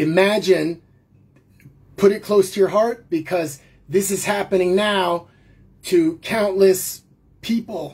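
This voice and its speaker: In a put-on character voice that is raspy and serious in tone, the speaker moves at a fairly slow pace with fairly even intonation and long, frequent pauses. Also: woman, medium pitch for a woman. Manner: emotional, serious.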